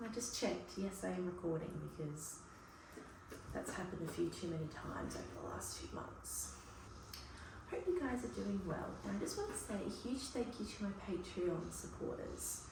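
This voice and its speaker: Soft-spoken and with an Australian accent, a woman talks at a moderate pace amid noticeable background noise and audible room echo. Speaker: cooking vlogger. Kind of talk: casual vlog talk. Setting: home kitchen.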